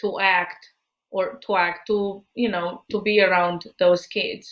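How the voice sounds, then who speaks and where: A woman in a Romanian accent, with monotone, flat intonation at a very slow pace. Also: medium pitch for a woman. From Romania, then Spain from about 12. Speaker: psychologist. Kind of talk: podcast interview. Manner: halting, many fillers.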